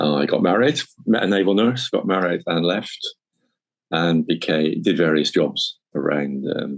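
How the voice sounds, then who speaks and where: There is vocal fry in this man's voice. He talks at a moderate pace with ordinary pitch variation. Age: 60s. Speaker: military veteran. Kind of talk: podcast interview. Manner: casual, with hesitations.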